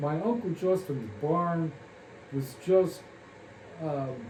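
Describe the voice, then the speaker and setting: In a room with audible echo, a man with an American accent speaks at a fairly high pitch with lively intonation. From Kansas. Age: 80s+. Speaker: family elder recalling memories. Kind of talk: oral history interview. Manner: halting, many fillers.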